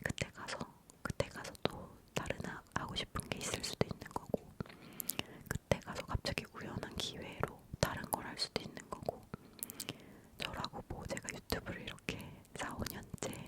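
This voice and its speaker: Whispering at a fairly slow pace, a woman comes through noticeable background noise. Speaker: ASMR content creator. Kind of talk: ASMR whispered talking, giving life advice. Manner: whispered, soft-spoken, intimate.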